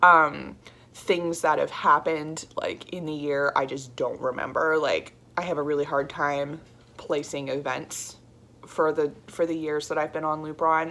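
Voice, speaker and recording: A woman with very deep, low pitch and monotone, flat intonation. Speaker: vlogger. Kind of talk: personal video diary. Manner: halting; casual.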